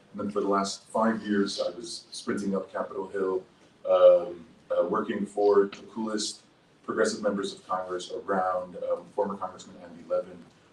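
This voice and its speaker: A man with an American accent at a moderate pace, big swings in loudness, and noticeable background noise. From Dearborn, Michigan, US. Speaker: public health professional, former congressional staffer. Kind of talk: panel discussion.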